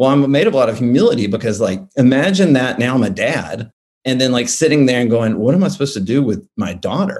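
With an American accent, the speaker uses lively intonation at a very fast pace. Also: man, medium pitch for a man. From US South, Alabama. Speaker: political and corporate marketer. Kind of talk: casual interview.

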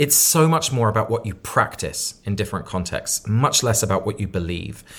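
Captured on a very clean recording with a silent background, a man with a southern English accent speaks somewhat breathily at a fairly low pitch and fairly quick pace, with ordinary pitch variation. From southern England (Sussex). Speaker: author and community leader. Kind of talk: interview conversation.

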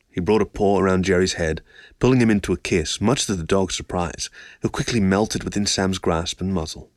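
A man with a very deep, low voice speaks at a fairly quick pace with ordinary pitch variation. The recording is very clean and dry, close with no echo, over a silent background. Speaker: audiobook narrator. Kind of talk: audiobook narration, literary reading aloud of a story.

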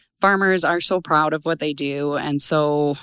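In an Albertan accent, a woman with a very deep, low pitch speaks in a bright, sharp tone with fairly even intonation, recorded very cleanly against a silent background. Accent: Canadian (Alberta). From southern Alberta, Canada. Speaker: crop science sales manager. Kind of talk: interview. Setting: conference.

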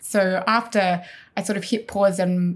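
Captured in a very clean recording with a silent background, a woman speaks at medium pitch in a somewhat breathy voice. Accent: Australian. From Australia. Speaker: health tech community founder, former medic. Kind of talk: interview.

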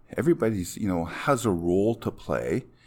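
This is a man with a Canadian prairie accent. His intonation is lively. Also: very clean recording, silent background. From Saskatchewan, Canada. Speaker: fire chief. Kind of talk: interview conversation.

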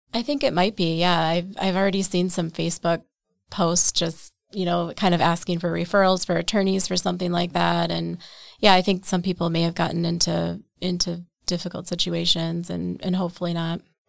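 This woman has a normal speaking voice, fairly low in pitch with fairly even intonation. The recording is very clean with a silent background. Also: fairly quick pace. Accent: American. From central Wisconsin. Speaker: real estate agent with a law degree. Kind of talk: casual interview.

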